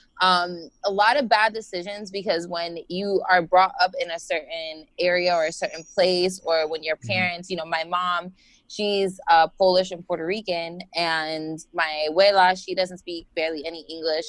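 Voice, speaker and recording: At a moderate pace with hardly any pauses, a woman with an American accent uses an ordinary speaking voice, fairly low in pitch, with fairly even intonation. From Florida. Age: 20s. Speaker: life and business coach. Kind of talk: casual interview. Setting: video call.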